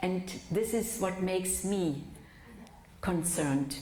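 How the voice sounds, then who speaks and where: A woman's fairly low voice in a German accent, very slow pace, audible room echo. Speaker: physician and lecturer. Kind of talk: lecture. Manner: slow, for the interpreter.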